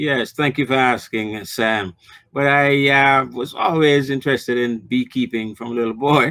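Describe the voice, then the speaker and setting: At a moderate pace, a man with a Jamaican accent speaks in a medium pitch with fairly even intonation. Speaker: new beekeeper. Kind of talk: interview.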